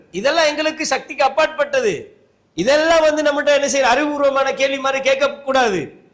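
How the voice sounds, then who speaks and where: A man's voice sits at an extremely high pitch, bright and sharp in tone, with fairly even intonation. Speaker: Islamic scholar giving a Friday sermon. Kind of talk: Friday sermon (khutbah) to a mosque congregation. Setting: mosque, live sermon.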